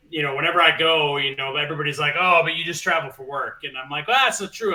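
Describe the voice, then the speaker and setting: Against noticeable background noise, a man with an American accent talks at a fairly high pitch. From US Midwest, Minnesota. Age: 40s. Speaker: guest gamer, musician. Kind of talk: casual chat. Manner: loud.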